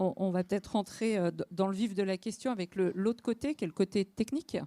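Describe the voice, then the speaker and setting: A woman's plain, everyday voice at medium pitch and moderate pace with ordinary pitch variation, dry and close with no echo. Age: 40s. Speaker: local elected official. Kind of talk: panel discussion. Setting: conference hall with audience.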